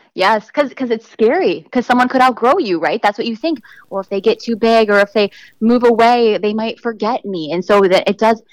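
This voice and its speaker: Speaking fairly quickly with an American accent, a woman uses an ordinary speaking voice at a fairly high pitch with ordinary pitch variation, in a very clean recording with a silent background. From US Midwest, southeastern Wisconsin. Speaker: marketing consultant and adjunct professor. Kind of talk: interview conversation.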